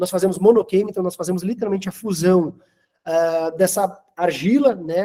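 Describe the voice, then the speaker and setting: A man with a Santa Catarina accent speaks at a high pitch. His pace is fairly quick and his intonation fairly even. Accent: Santa Catarina Brazilian Portuguese. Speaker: manufacturer representative. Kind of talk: product presentation.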